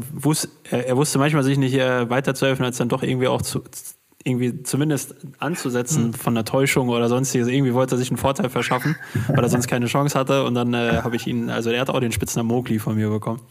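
A man's very fast speech with fairly even intonation over noticeable background noise. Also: medium pitch for a man. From Ruhr area, Germany. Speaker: podcast host. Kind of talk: casual interview.

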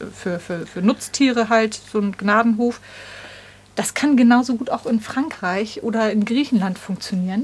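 With noticeable noise behind her, a woman's fairly high voice moves at a moderate pace, its pitch varying in an ordinary way. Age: 40s. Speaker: long-distance cyclist and vegan activist. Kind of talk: casual interview. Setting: home studio.

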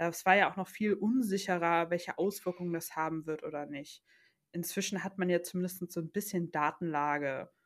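Speaking at a moderate pace with fairly even intonation, a woman with a fairly low pitch and an unremarkable speaking voice is heard on a very clean recording with a silent background. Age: 20s. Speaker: new mother. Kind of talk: casual chat.

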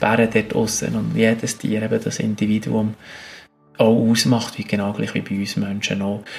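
Noticeable background noise sits under a voice that moves at a moderate pace with monotone, flat intonation. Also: man. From Switzerland, Bern region and mountains. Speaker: biologist and adventurer. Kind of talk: interview.

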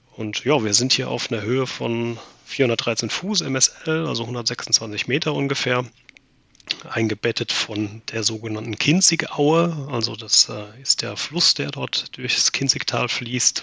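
Amid noticeable background noise, a man at a medium pitch speaks at a very slow pace with lively intonation. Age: 30s. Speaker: amateur pilot, flying club member. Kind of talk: podcast interview.

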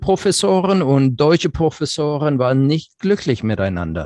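At a moderate pace, a man with an English accent speaks at a fairly high pitch. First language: English (speaking German). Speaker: software company manager. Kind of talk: interview. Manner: halting, many fillers.

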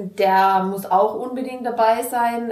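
A woman's fairly high voice amid noticeable background noise and audible room echo. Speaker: innkeeper. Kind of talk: interview. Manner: hesitant, many fillers.

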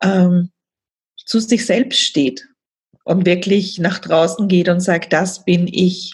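Somewhat breathy, a woman speaks at a fairly slow pace in a medium pitch with fairly even intonation. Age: 40s. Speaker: coach for women. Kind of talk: podcast interview.

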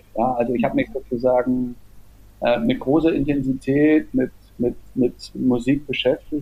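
A man at a fairly slow pace, his loudness very even. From East Germany, Jena. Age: 50s. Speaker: theatre festival director and author. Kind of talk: interview. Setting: remote call.

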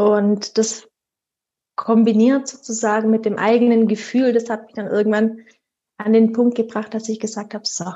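At a moderate pace, a woman with a fairly high pitch speaks in a monotone, flat intonation, her loudness swinging widely and her long pauses coming often. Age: 30s. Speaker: sleep consultant and mother. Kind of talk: interview.

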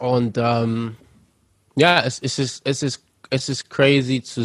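Recorded with a dry, close sound and no echo, a man talks at a very slow pace with a medium pitch and fairly even intonation. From Germany, Lüneburg (Lower Saxony). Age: 20s. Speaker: rapper. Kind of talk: interview.

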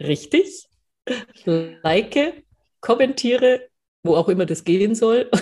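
Pausing long and often, a woman with a fairly high pitch speaks at a very slow pace, her pitch swinging very widely. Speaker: podcast co-host. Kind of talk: casual chat.

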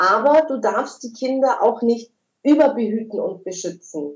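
A woman is talking. Her pitch is high. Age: 50s. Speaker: spiritual medium working with angels. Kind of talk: casual interview.

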